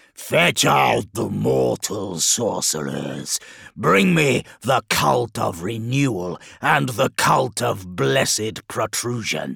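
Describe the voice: Slowly and in a put-on character voice, a man with a medium pitch uses big pitch swings, a fairly bright tone, a slightly husky edge and vocal fry.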